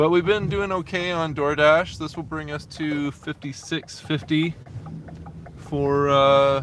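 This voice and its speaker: A man with a fairly high pitch talks at a very slow pace. Noticeable background noise is present. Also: fairly even intonation. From Canada. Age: 30s. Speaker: delivery driver live streamer. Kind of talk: casual live stream chat while driving. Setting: in a car. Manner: casual, chatty.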